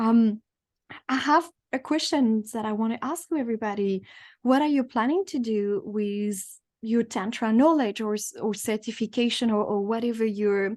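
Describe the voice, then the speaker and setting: Against a quiet background, a woman with a French accent talks at a moderate pace, her fairly high voice showing ordinary pitch variation. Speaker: tantra teacher, book club host. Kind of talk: online group discussion.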